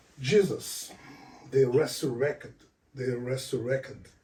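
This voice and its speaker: A man with a non-native accent speaks in a dark, mellow tone, somewhat breathy, with audible room echo. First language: not English. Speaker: author and spiritual speaker. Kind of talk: lecture. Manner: halting.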